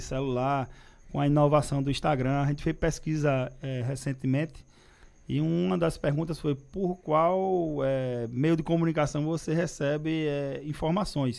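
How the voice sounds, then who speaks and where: In an ordinary speaking voice, a man with a fairly high pitch talks at a moderate pace with fairly even intonation. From Pernambuco, Brazil (Recife); Pernambuco, Brazil. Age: 30s. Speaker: politician. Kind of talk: interview. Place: studio. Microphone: studio mic.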